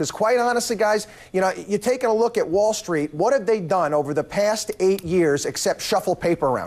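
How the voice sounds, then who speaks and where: At a fairly quick pace, a man talks in a high pitch amid noticeable background noise. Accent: American. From USA. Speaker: financial commentator. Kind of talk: TV news interview.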